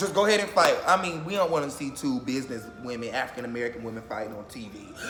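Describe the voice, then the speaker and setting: Over music in the background, a man talks at a very fast pace with audible room echo. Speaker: YouTuber reacting to reality TV. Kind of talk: casual vlog commentary.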